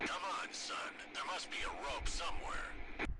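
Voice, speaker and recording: A man in a cartoonish character voice at a moderate pace, over loud background noise. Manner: terse, gruff.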